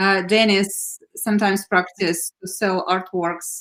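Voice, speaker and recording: A woman talks at a fairly slow pace with a non-native accent. The sound is dry and close, with no echo. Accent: foreign. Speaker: art platform director. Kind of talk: interview. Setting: live stream.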